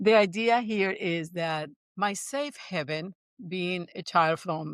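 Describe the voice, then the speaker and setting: Speaking very slowly with a Spanish accent, a woman uses medium pitch and lively intonation. The recording is very clean, with a silent background and a dry, close sound with no echo. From Puerto Rico. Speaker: neuroscience-based coach and business founder. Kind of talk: interview storytelling.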